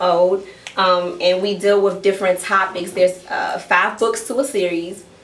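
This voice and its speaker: Noticeable background noise behind a woman's medium-pitched voice at a moderate pace. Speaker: poet and author. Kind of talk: casual talk to live audience, explaining her poem.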